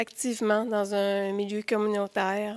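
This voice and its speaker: On a very clean recording with a silent background, a woman speaks in a flat monotone at a fairly high pitch and fairly slow pace. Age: 40s. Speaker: nurse sharing mental health story. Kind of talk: testimony.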